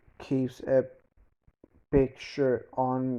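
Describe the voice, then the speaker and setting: Medium pitch and a dark, mellow tone in a man's voice. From Denmark. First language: Danish. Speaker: YouTuber. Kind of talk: storytelling fan fiction narration. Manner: halting, many false starts.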